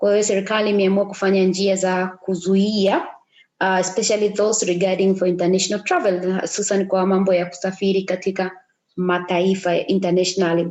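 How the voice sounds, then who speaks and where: At a fairly quick pace, a woman with an East African accent speaks in a monotone, flat intonation with very even loudness. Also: medium pitch for a woman. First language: Swahili. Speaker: tour operator. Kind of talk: reading aloud with translation. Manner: halting.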